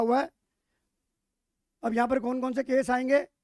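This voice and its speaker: Loud and extremely high-pitched, a man speaks at a moderate pace with fairly even intonation, the sound dry and close with no echo. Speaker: teacher. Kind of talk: lecture. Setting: live online class.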